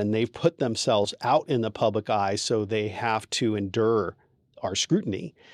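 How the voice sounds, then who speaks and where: A man talks at a moderate pace in a medium pitch, with an unremarkable speaking voice. The recording is very clean and dry, close-miked with no echo and a silent background. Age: 50s. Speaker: divorce attorney. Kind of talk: interview.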